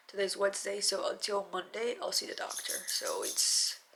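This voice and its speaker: A woman talks over noticeable background noise. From Mexico. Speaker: beauty vlogger. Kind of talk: personal video diary.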